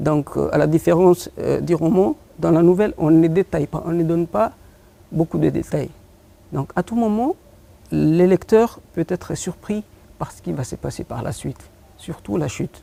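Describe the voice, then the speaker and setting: At a moderate pace, the speech swings greatly in loudness and has long, frequent pauses. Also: man, dry, close sound with no echo. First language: Afar (speaking French). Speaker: poet and short story writer. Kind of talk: TV interview. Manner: halting, frequent hesitations.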